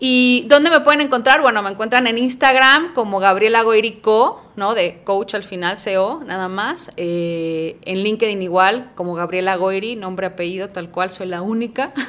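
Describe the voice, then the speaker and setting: A woman with a normal speaking voice, fairly high pitch, lively intonation, big swings in loudness, a moderate pace and hardly any pauses. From Mexico, Puebla. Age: 40s. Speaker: career coach. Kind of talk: casual interview chat.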